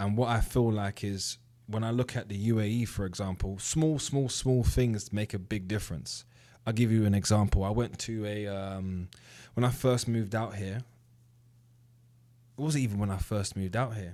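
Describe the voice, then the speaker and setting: Recorded very cleanly against a silent background, a man with a British accent speaks at a moderate pace in a dark, mellow, fairly low voice with ordinary pitch variation. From UK. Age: 30s. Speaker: trading educator. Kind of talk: casual commentary to camera. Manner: conversational, with fillers.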